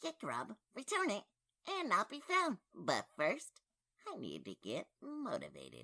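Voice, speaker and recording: A man does a cartoonish character voice at a fairly slow pace, the sound dry and close with no echo. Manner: excitable, wisecracking.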